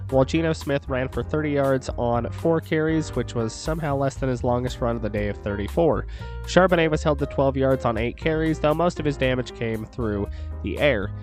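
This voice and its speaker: Over music in the background, the speech moves at a fairly quick pace. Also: man. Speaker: sports podcast host. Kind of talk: sports game recap commentary. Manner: low-energy.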